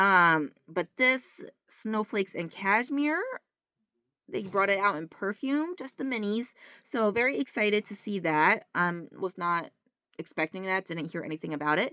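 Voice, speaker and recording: In a very clean recording with a silent background, a woman at medium pitch talks at a moderate pace with a bright, sharp tone and lively intonation. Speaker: mother. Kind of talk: casual talk to camera.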